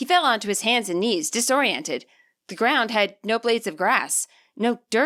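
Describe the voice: Someone gives a plain reading aloud with ordinary pitch variation against a quiet background.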